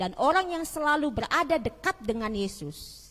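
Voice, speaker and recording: Loud and animated, a woman with a Balinese accent speaks at a fairly slow pace with vocal fry and very wide pitch swings. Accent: Balinese accent showing. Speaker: pastor. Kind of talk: sermon. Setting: church service with congregation, streamed online. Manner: loud, projecting to congregation; animated, conversational.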